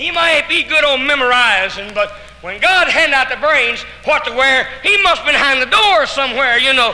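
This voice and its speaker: A man with an Arkansas accent uses a raised, projected voice at an extremely high pitch and a moderate pace, with lively intonation. Audible room echo and noticeable background noise fill the recording. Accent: Southern US (Arkansas). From Arkansas, US South. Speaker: evangelist. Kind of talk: testimony. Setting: church, live audience. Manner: animated.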